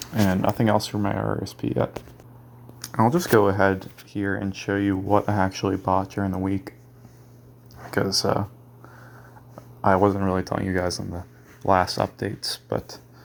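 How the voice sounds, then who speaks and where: Here a man speaks at a fairly low pitch, leaving long, frequent pauses. Noticeable background noise is present. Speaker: dividend investor. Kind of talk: casual talk to camera.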